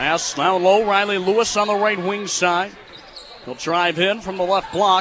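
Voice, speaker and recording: Amid noticeable background noise, a man with an American accent speaks in a raised, projected voice, high in pitch, at a fairly slow pace with fairly even intonation. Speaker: college radio sports play-by-play broadcaster. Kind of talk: basketball radio play-by-play.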